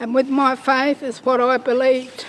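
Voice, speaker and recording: Over noticeable background noise, a woman talks at a fairly slow pace in a high-pitched, monotone, flat delivery. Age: old. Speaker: Stolen Generation survivor. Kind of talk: testimony.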